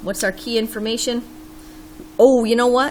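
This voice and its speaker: Over noticeable background noise, a woman speaks at a fairly slow pace. Her high-pitched voice has an animated tone. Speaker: math teacher. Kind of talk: tutorial.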